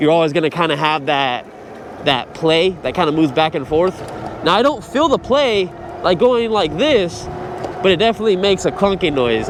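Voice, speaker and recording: Noticeable background noise sits behind a man talking at a fairly quick pace with lively intonation. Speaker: e-bike reviewer. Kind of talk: vlog while riding. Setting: outdoors on a bike. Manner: loud.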